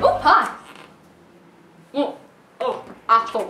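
Light background noise and audible room echo surround a woman's voice. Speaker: comedy actor. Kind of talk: acted comedic lines. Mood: surprised, playful. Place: kitchen. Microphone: camera far.

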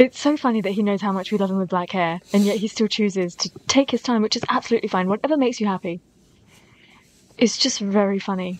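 A woman talking at a very fast pace, with ordinary pitch variation and a dry sound with no echo. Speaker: reaction video creator. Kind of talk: casual talk to camera. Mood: amused, affectionate. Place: home room.

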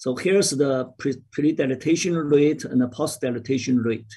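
Only a quiet background lies behind this man's talking. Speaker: medical lecturer. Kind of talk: lecture.

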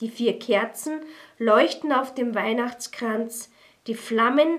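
Over a quiet background, a woman speaks at a very slow pace. Her pitch is fairly high, with ordinary pitch variation. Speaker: poetry reader. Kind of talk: poetry reading. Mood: calm, festive, warm. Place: studio.

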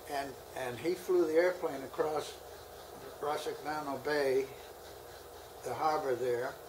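Pausing long and often at a fairly slow pace, a man with an American accent speaks at a fairly high pitch against noticeable background noise. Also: fairly even intonation. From United States. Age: 90s. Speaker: WWII pilot. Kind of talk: interview answer. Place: home room.

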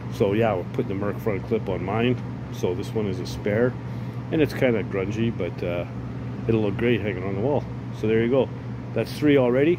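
A man at a fairly quick pace with ordinary pitch variation, over noticeable background noise. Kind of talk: casual vlog chat. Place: garage. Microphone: phone near.

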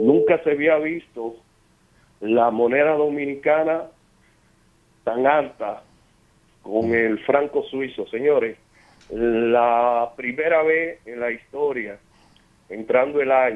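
Very slow speech with long, frequent pauses, ordinary pitch variation and a quiet background. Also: man. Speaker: radio caller. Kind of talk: call-in opinion. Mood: concerned. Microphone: phone line.

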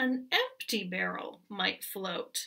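A woman puts on a character voice at a medium pitch, with big pitch swings and vocal fry. Her tone is bright and sharp, and she speaks slowly.

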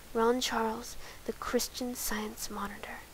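Speech comes at a very slow pace. Background noise is noticeable. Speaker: ASMR creator. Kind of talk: ASMR soft-spoken reading. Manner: soft-spoken.

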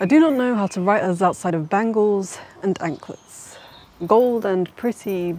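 This woman speaks at a fairly slow pace with a Yorkshire accent. Her pitch varies in an ordinary way, and the sound is dry with no echo. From northern England, Leeds; northern England. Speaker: poet. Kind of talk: spoken word poetry. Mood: earnest, reflective, resolute.

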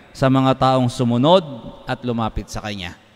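The background stays quiet while a man talks at a fairly slow pace. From Philippines. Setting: church, live-streamed Mass. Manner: formal, solemn, measured. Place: church. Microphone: podium.

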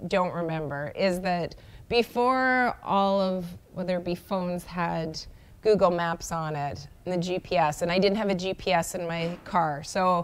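The woman's voice sits fairly low in pitch, with ordinary variation. She talks at a fairly slow pace. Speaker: guest sports reporter. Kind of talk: interview answer. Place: studio. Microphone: lapel.

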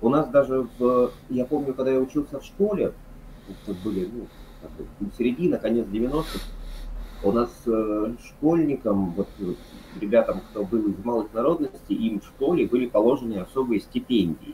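Over light background noise, a man speaks at a moderate pace with ordinary pitch variation and long, frequent pauses. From Yakutia, Russia (Yakutsk); Yakutia, Russia. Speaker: history lecturer. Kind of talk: casual chat. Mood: relaxed, chatty. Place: home room. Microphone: video call.

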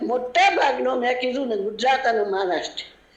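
A woman speaks in a high voice over noticeable background noise, with audible room echo. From Gujarat, Kalol. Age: 80s+. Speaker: independence-era activist, interviewee. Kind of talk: radio interview, oral history.

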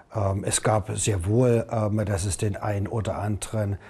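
A man speaks in a dark, mellow tone that is somewhat breathy. His pitch is fairly low and his intonation fairly even. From Saxony, Germany. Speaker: mayor. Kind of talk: interview. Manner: halting, many fillers. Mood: serious, concerned. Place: office.

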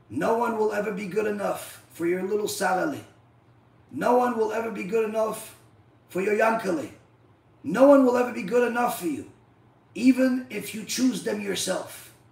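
A high-pitched man's animated voice at a moderate pace, with long, frequent pauses and audible room echo. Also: ordinary pitch variation. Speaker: rabbi, Torah teacher. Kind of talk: religious lecture (live-streamed Torah class). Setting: live stream. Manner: animated, rhetorical and repetitive. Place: home room.

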